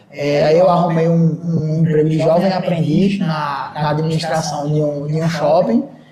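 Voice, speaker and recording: With audible room echo and noticeable background noise, a man speaks at a moderate pace in a fairly high pitch with fairly even intonation. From Brazil, Recife (Pernambuco). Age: 20s. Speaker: shopping mall manager. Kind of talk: podcast interview. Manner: hesitant, many fillers and repetitions.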